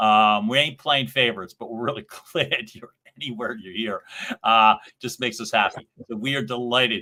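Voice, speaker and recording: With a Philadelphia accent, a man talks at a fairly quick pace in a bright, sharp tone. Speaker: podcast co-host. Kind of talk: casual chat. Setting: livestream show.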